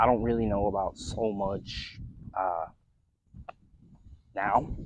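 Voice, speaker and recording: Speaking at a very slow pace, a man with an American accent uses a fairly low pitch and fairly even intonation. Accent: Michigan accent noticed by locals in Kentucky. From Michigan. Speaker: vlogger. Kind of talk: casual vlog talk. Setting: in a car, partly. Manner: casual, with some fillers.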